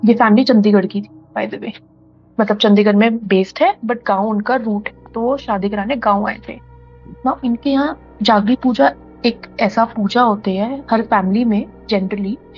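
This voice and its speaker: A woman's fairly high voice with fairly even intonation and big swings in loudness, over music in the background. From Delhi, India. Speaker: storyteller guest. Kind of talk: casual chat. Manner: halting.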